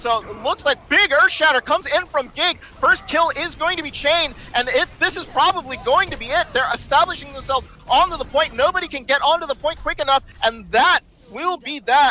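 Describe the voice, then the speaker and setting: Over noticeable background noise, a man speaks in a raised, projected voice at a fairly quick pace, his pitch extremely high with ordinary variation. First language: not English. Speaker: esports caster. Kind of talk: live commentary. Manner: animated.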